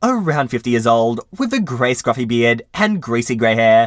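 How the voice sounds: Simply a natural reading voice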